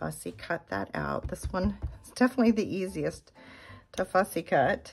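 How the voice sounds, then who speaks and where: Noticeable background noise runs through the clip. The woman talks at a moderate pace. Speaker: card-making crafter. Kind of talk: tutorial. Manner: casual, conversational.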